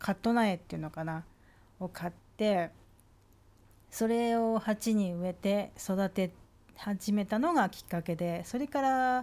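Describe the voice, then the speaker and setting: Speaking fairly slowly with long, frequent pauses, a woman keeps a medium pitch and ordinary pitch variation. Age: 50s. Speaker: vlogger. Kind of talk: casual monologue. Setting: lying on a sofa.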